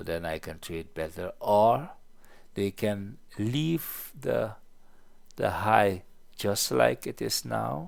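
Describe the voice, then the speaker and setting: With a non-native accent, a man speaks very slowly with long, frequent pauses and very wide pitch swings in a very clean recording with a silent background. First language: not English. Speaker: trading educator. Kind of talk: market analysis tutorial. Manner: halting.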